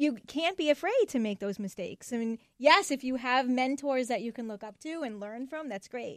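Against a quiet background, a woman with a high pitch talks in an upbeat, warm tone with lively intonation, the sound dry and close with no echo. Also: moderate pace. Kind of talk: radio host patter: a brisk, polished station ID and break bumper. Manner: upbeat, warm, fluent and brisk, with a crisp announcer-style delivery.

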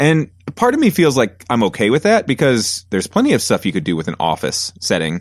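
Vocal fry and very wide pitch swings at a fairly quick pace, in a very clean recording with a silent background. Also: man, medium pitch for a man. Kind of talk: casual chat. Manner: loud.

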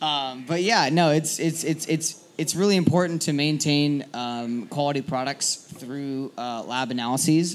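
A man's normal speaking voice with an American accent, ordinary pitch variation and a moderate pace. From eastern Washington, US. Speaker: brewer. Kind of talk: casual interview on stage. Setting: stage with live audience.

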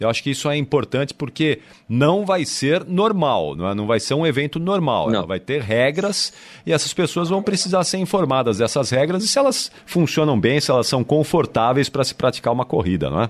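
Speaking at a fairly quick pace, a man with a fairly high voice and vocal fry makes very wide pitch swings. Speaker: radio host. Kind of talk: radio interview.

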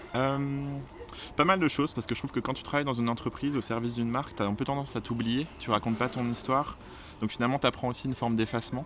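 A man rattles along very fast in a medium pitch, his intonation fairly even. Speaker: entrepreneur, cosmetics brand founder. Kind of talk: interview. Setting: outdoors in a park.

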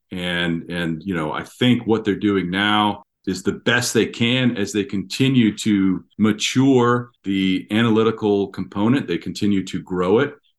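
In an unremarkable speaking voice with an American accent, a man talks at a fairly slow pace and fairly low pitch, with ordinary pitch variation, hardly any pauses and a quiet background. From Washington DC area. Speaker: retired FBI agent. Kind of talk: interview.

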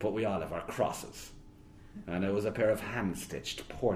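Ordinary pitch variation, in a natural reading voice

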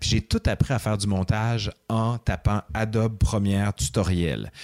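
A man speaks at a fairly low pitch with ordinary pitch variation and an ordinary speaking voice. The sound is dry and close with no echo, in a very clean recording with a silent background. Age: 40s. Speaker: history professor and YouTuber. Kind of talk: casual interview.

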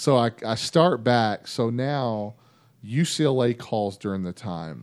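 Here a man speaks with a Texan accent at a medium pitch. He goes at a very slow pace with ordinary pitch variation. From North Texas (Vernon, Mesquite near Dallas). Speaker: former college football player. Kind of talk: casual chat.

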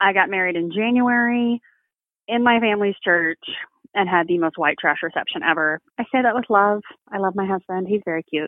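A woman speaks with an American accent in a normal speaking voice. Her pitch is medium with ordinary variation, and her pace is fairly quick. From Texas. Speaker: bereaved mother. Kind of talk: testimony.

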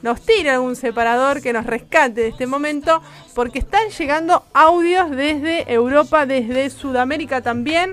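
A woman speaks with a high pitch and an animated tone in a Rioplatense accent. Music plays in the background. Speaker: radio host. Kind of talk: casual chat.

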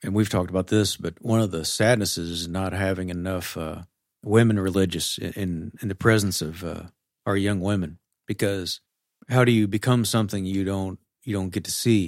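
A man talks at a fairly quick pace in a plain, everyday voice, fairly low in pitch with fairly even intonation. The recording is very clean with a silent background. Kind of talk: casual chat.

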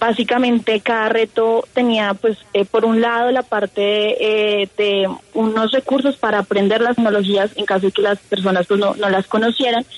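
With a Colombian accent, a woman speaks at a moderate pace and fairly high pitch, her intonation monotone and flat and her loudness very even, with hardly any pauses, in a dry, close sound with no echo over noticeable background noise. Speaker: engineer and programming contestant. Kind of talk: radio interview.

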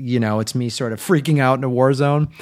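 In a very clean recording with a silent background, a man with a plain, everyday voice speaks at a fairly quick pace, with medium pitch and fairly even intonation. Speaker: podcast host. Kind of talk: casual comedy podcast chat. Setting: home recording studio. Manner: joking, interrupting.

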